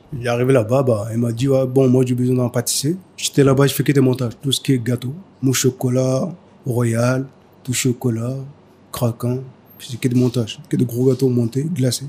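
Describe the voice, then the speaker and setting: At a moderate pace, a man with a medium pitch and a dark, mellow tone speaks in a somewhat breathy, monotone, flat way, leaving long, frequent pauses. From Mali. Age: 30s. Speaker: pastry chef. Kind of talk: interview. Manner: halting.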